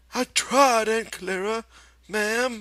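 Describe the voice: Fairly even intonation in plain reading aloud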